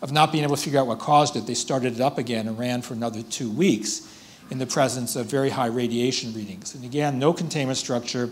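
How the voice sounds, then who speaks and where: The words come out at a very fast pace from a man. His intonation is fairly even. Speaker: speaker. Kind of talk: lecture. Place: hall. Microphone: podium.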